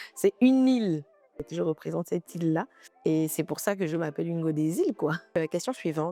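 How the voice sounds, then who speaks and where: Music plays in the background as a woman talks at a moderate pace in a fairly low voice, the sound dry and close with no echo. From Gabon, Port-Gentil. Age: 20s. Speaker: YouTuber. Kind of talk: casual vlog Q&A.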